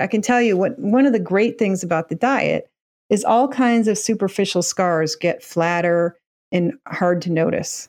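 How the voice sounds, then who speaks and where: A woman with a plain, everyday voice, medium pitch and lively intonation, at a moderate pace over a quiet background. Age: 50s. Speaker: nutrition researcher and author. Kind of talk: interview.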